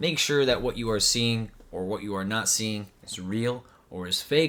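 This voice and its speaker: A fairly slow man at a medium pitch, animated, with a bright, sharp tone. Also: ordinary pitch variation. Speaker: YouTube commentator reacting to tech video. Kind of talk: reaction video commentary. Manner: animated, repetitive emphasis; stuttering at moments.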